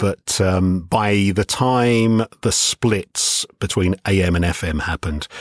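A man speaks with a London accent. The sound is dry and close, with no echo. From southeast London (Greenwich). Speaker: radio DJ. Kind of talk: interview.

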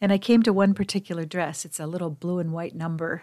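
In a plain, everyday voice, a woman speaks at a fairly low pitch and moderate pace with fairly even intonation, on a very clean recording with a silent background. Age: 60s. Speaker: podcast host and women's mentor. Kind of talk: solo monologue podcast. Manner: gentle, reflective.

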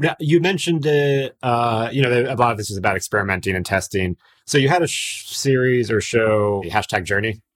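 With an American accent and a normal speaking voice, a man talks at a fairly quick pace and medium pitch, using lively intonation and hardly any pauses. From Miami. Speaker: podcast host. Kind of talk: casual interview.

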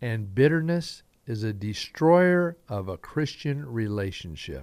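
On a very clean recording with a silent background, a man with an American accent speaks fairly slowly at a medium pitch with lively intonation. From Southern Idaho. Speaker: pastor. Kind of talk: sermon-style Bible teaching with prayer. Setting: radio broadcast.

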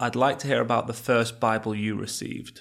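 The speaker is a man with an English accent. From England. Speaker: podcast host. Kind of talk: interview.

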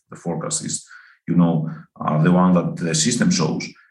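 A man speaks with ordinary pitch variation over audible room echo. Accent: Greek. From Greece. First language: Greek. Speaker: forecasting researcher. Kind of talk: interview. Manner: halting, many fillers.

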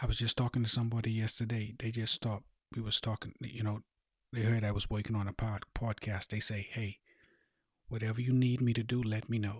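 Somewhat breathy, the voice holds a monotone, flat intonation. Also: man, medium pitch for a man, fairly quick pace, dry, close sound with no echo. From Bahamas (Eleuthera, schooling in Nassau). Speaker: life coach and podcast host. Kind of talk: motivational monologue.

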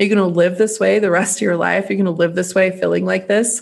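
A woman at a fairly quick pace, medium-pitched, with vocal fry. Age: 30s. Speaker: podcast host. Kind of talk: casual solo podcast monologue. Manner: animated.

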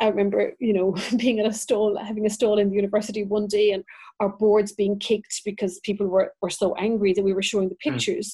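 Very fast and at very even loudness, a woman with a Cork accent speaks in a somewhat breathy, medium-pitched voice with fairly even intonation. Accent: Irish (Cork). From County Cork, Ireland. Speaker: mother and pro-life advocate. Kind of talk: casual interview chat. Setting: evening at home, children in background.

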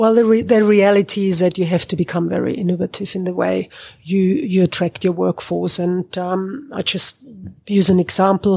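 A woman's dark, mellow voice at medium pitch, with ordinary pitch variation, a moderate pace, and a dry, close sound with no echo. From Germany. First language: German. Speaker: agricultural consultant. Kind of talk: interview.

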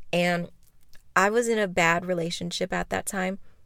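A woman has a normal speaking voice at medium pitch, talking at a moderate pace with fairly even intonation on a very clean recording with a silent background. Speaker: podcast host and cannabis content creator. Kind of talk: casual solo monologue. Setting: in a car.

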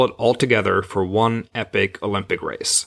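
A normal speaking voice with ordinary pitch variation. The recording is very clean, with a silent background. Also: man. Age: 40s. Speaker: podcast host. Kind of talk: scripted narration.

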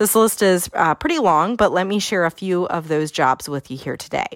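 A woman talks with a Pennsylvania accent. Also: dry, close sound with no echo. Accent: Pennsylvania American. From York County, Pennsylvania. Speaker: podcast host, agricultural lending educator. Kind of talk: solo podcast talk.

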